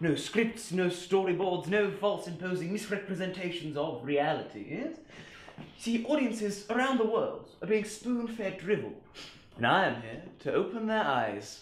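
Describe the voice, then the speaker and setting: A put-on character voice from a man, high-pitched, breathy and pompous in tone, with lively intonation at a moderate pace and a slight echo. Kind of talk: comic overacting. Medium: short film. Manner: pompous, airy, repeating 'yes?'.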